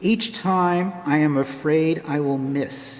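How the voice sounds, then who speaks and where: A man with a fairly high pitch talks with ordinary pitch variation while music plays in the background. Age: 70s. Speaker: lay reader at a church service. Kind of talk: reading aloud.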